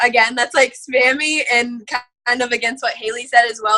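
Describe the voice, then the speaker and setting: Her voice is high for a woman, with a bright, sharp tone. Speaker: network marketing seller giving team training. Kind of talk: online training presentation. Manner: fast; casual, filler-heavy.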